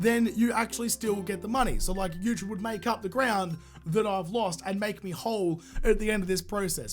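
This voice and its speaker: Music plays in the background as a man speaks at a moderate pace with an Australian accent. His pitch is high. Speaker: gaming YouTuber. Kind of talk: casual talk to camera.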